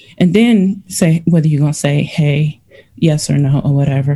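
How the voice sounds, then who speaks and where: Her voice somewhat breathy and dark, mellow in tone, a woman with an American accent speaks at a moderate pace with lively intonation. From Cleveland, Ohio. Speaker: breast cancer patient, military veteran. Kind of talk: interview.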